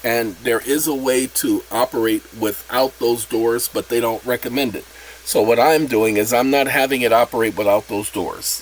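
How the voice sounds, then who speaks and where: Over noticeable background noise, a man with a medium pitch talks at a moderate pace with fairly even intonation. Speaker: channel host explaining a self-made app. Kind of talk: casual tutorial.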